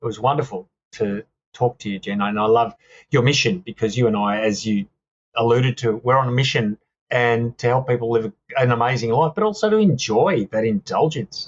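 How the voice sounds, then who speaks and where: In an Australian accent, a man speaks with an enthusiastic tone at a fairly quick pace and medium pitch, somewhat breathy, with ordinary pitch variation. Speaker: author and speaker. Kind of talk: casual chat.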